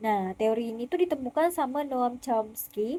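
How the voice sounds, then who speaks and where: A woman's high voice with a dark, mellow tone and ordinary pitch variation, with a slight West Kalimantan accent. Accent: slight Pontianak Malay. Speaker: university student. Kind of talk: student presentation video. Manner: casual.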